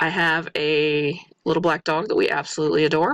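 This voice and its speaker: A woman speaks in a fairly low pitch, the sound dry and close with no echo. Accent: American. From US Midwest, Missouri. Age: 40s. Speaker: respiratory therapist and student. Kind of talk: self-introduction monologue. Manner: halting, with fillers.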